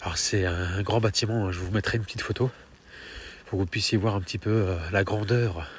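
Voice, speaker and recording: There is a somewhat breathy quality here. The melody holds fairly level throughout. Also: man, fairly low pitch for a man, fairly quick pace. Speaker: paranormal investigator youtuber. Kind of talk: on-location vlog narration. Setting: outdoors at night in the rain. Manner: soft-spoken; hesitant, filler-heavy.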